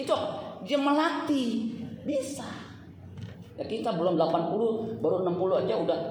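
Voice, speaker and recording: Long pauses come often in this fairly slow, animated delivery. Background noise is noticeable throughout. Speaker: preacher. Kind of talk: sermon to a live congregation, with call-and-response. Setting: church with congregation. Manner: animated, exhorting, interactive.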